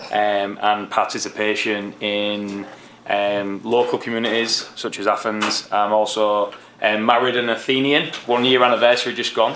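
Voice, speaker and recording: A man's fairly low voice, monotone and flat, at a moderate pace over noticeable background noise. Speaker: assistant professor, coaching education. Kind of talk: self-introduction at public board meeting. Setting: city board meeting.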